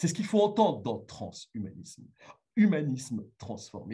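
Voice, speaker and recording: A man's medium-pitched voice with vocal fry, very wide pitch swings and a moderate pace. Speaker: philosophy lecturer. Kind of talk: lecture. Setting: remote video link to conference. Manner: halting, many fillers.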